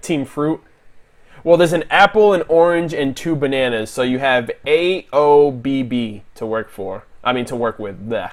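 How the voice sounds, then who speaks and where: Here a man speaks with a fairly high pitch. His tone is animated and his intonation lively. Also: moderate pace. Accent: Boston. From Boston, Massachusetts. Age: 20s. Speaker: YouTuber reviewing animated series. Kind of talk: livestream discussion.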